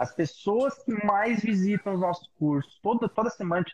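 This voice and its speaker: Lively intonation marks this man's speech, captured with a dry, close sound and no echo. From Brazil, São Paulo. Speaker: hairdresser, salon owner and hair educator. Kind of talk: casual chat. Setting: video call.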